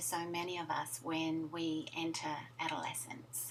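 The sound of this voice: A woman's fairly low-pitched voice at a fairly slow pace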